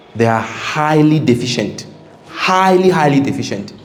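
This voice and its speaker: Someone talks at a moderate pace with ordinary pitch variation. Noticeable background noise and audible room echo are present. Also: man. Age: 30s. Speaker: engineering company owner and guest speaker. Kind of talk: seminar talk to students.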